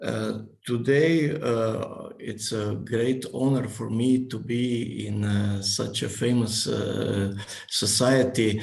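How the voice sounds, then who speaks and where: A man with a non-native accent speaks at a very slow pace. Noticeable background noise and audible room echo surround his voice. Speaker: engineering professor. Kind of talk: presentation. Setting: video call. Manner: halting.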